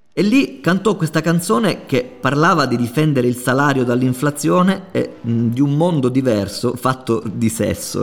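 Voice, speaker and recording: A man speaks at a moderate pace with lively intonation. Noticeable background noise can be heard. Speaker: podcast host. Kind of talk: scripted narration.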